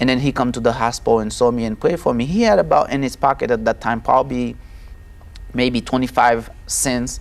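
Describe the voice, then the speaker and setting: A man speaks at a medium pitch with a Haitian accent. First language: Haitian Creole. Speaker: testimony guest. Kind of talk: testimony interview. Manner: halting.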